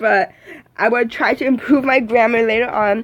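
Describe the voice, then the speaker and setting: The bright, sharp tone moves along at a fairly quick pace. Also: woman. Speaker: amateur book reader / YouTuber. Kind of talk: casual talk to camera. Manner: nervous, chatty.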